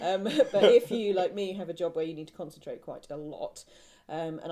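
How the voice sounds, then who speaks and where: In a southern English accent, a woman speaks at a fairly quick pace with a dark, mellow tone. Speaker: podcast co-host, knitter. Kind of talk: casual chat. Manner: chatty, hesitant with many ums.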